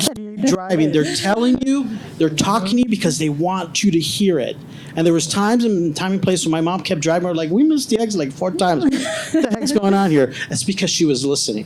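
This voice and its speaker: High in pitch, a man speaks in an animated tone with very wide pitch swings. Noticeable background noise is present. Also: fairly quick pace. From grew up abroad, came to the US as a child. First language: not English. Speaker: panelist, former law enforcement. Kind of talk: panel discussion.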